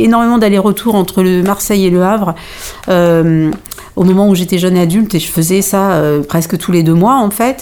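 There is noticeable background noise as a woman speaks. Her pace is moderate and her pitch variation ordinary. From Normandy (Pays de Caux) with Malian heritage. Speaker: playwright and stage director. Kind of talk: interview.

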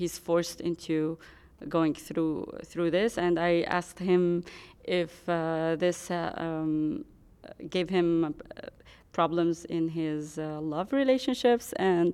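Her voice has a dark, mellow tone and a fairly low pitch, with ordinary variation. This woman talks at a very slow pace. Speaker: interpreter and co-host. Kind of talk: live interpreting. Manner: halting.

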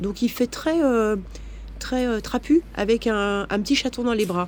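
Speaking at a fairly slow pace, a woman uses lively intonation at medium pitch. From France, Versailles area. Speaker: abuse survivor telling her story. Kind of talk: testimony. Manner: hesitant, many fillers.

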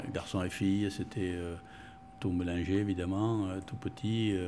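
Very slowly and with fairly even intonation, a man speaks in a very deep, low pitch through noticeable background noise. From Bordeaux, France (Spanish immigrant parents). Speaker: long-time local resident. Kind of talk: interview, life story. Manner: halting, many hesitations.

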